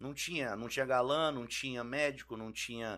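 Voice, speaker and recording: A man talks in a plain, everyday voice at a medium pitch. His pitch varies in an ordinary way, and his pace is moderate. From Brasília, Brazil (born in Rio). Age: 40s. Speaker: musician, band singer. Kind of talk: casual podcast chat.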